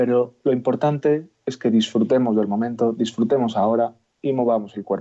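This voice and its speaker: In an ordinary speaking voice, a man talks at medium pitch with fairly even intonation. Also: moderate pace. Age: young. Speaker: chiropractor. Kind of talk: radio interview.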